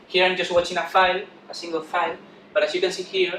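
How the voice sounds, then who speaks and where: A man talks at a very fast pace. Audible room echo and noticeable background noise surround him. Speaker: conference speaker, software developer. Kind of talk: conference talk. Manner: halting with repetitions.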